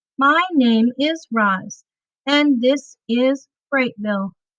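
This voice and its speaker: This woman puts on a character voice, pitched high and delivered at a very slow pace. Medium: read story. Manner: precise, formal.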